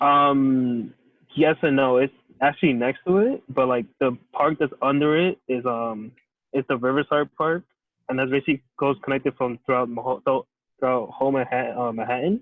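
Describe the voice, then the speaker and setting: This man has an American accent and a medium pitch. He talks at a moderate pace with fairly even intonation. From New York City. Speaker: interviewee. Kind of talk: casual chat. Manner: halting.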